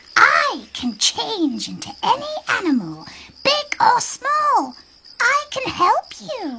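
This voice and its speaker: An extremely high-pitched put-on character voice at a very slow pace. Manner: squawking.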